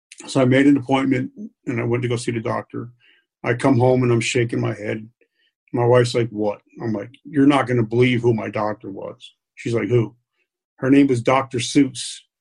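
With an American accent, a somewhat breathy man talks at a moderate pace in a flat monotone, leaving long, frequent pauses. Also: medium pitch for a man. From New York City area. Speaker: military veteran. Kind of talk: interview. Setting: at home, kitchen table.

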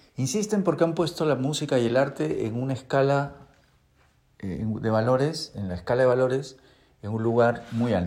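A man with an ordinary speaking voice and a medium pitch talks at a moderate pace with lively intonation. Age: 40s. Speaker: guitar teacher and podcast host. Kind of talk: casual monologue.

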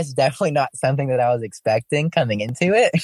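Talking at a very fast pace with lively intonation, a man with a Southern US accent has a fairly high pitch, and the sound is dry and close with no echo. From Alabama, near Birmingham. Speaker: drag queen. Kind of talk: casual interview.

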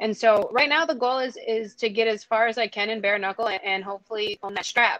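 Speaking at a moderate pace, a woman uses a fairly high pitch and a bright, sharp tone with ordinary pitch variation. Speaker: professional fighter. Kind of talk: casual interview.

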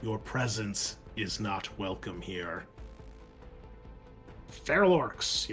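Putting on a robotic character voice, a man speaks very slowly with a rumbling, fairly low pitch and long, frequent pauses while music plays clearly in the background. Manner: cold, authoritative.

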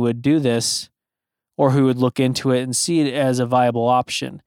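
A normal speaking voice from a man, medium-pitched, in a very clean recording with a silent background and a dry, close sound with no echo. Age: 30s. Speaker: podcast host. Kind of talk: solo monologue. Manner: casual, filler-heavy.

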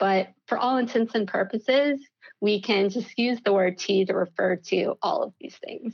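Speaking at a moderate pace with an American accent, a woman has a plain, everyday voice, fairly high in pitch, with ordinary pitch variation. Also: dry, close sound with no echo. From US South, Mississippi. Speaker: tea company owner. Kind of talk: interview podcast.

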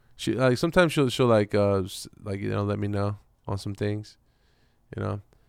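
This man has a plain, everyday voice, pitched fairly low, with ordinary pitch variation and a moderate pace. The recording is very clean and the background silent. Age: 30s. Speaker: hip-hop artist. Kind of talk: casual chat.

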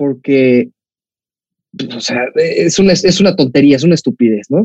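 A man with a Mexican accent speaks at a fairly slow pace in a dark, mellow tone, his pitch swinging very widely in a dry, close sound with no echo. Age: 20s. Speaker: football podcast host. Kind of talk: casual chat.

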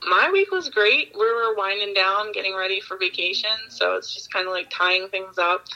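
Hardly pausing, a woman with an American accent talks at a moderate pace over noticeable background noise. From Baltimore, Maryland. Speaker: fraud investigator and podcaster. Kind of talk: casual interview chat. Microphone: dropped out, switched off speakerphone.

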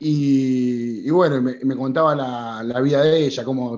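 A man's medium-pitched voice in a flat monotone. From Argentina. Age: 30s. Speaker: writer. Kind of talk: interview. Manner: halting.

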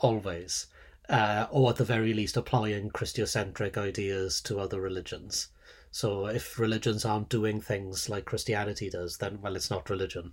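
A man speaks in a fairly low pitch with a somewhat breathy voice. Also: moderate pace, very clean recording, silent background. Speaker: podcast co-host, sociologist. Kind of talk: casual academic chat.

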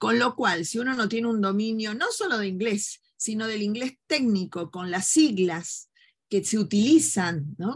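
Against a quiet background, a woman with a fairly high, somewhat breathy voice speaks at a fairly slow pace with lively intonation. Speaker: human rights lawyer and journalist. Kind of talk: interview conversation.

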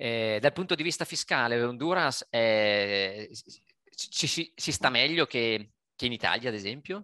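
The sound is dry and close, with no echo and a quiet background. A man talks at a fairly slow pace in a bright, sharp tone. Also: medium pitch for a man, lively intonation. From Italy. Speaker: podcast host interviewing expats. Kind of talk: interview via video call.

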